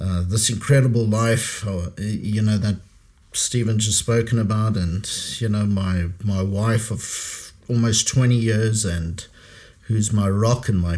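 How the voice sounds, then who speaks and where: Very slow and somewhat breathy, a man speaks with a fairly low pitch and a dark, mellow tone. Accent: American. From South Africa, Pretoria. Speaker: podcast host, former intelligence operative. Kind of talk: podcast conversation. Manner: halting, many fillers.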